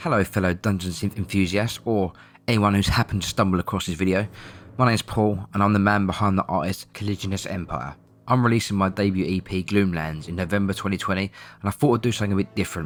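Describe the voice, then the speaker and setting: With an Essex accent, a man with a fairly low pitch rushes along at a very fast pace, his pitch varying in an ordinary way. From Essex, England. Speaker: musician. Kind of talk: documentary narration.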